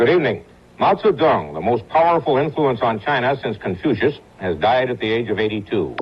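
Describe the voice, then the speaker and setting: Speaking in an ordinary speaking voice, a man uses lively intonation at medium pitch and a fairly quick pace. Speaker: news anchor. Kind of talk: TV news broadcast.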